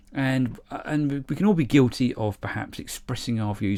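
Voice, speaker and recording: The recording is very clean, with a silent background. A man speaks at a moderate pace in a medium pitch. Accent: English. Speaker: model railway YouTuber. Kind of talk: casual vlog monologue. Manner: halting, with fillers and repetitions.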